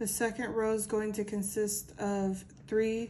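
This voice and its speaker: In a room with audible echo, a woman speaks very slowly in a flat monotone, her voice dark, mellow and somewhat breathy at a medium pitch. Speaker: crochet tutorial creator. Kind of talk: tutorial. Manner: casual.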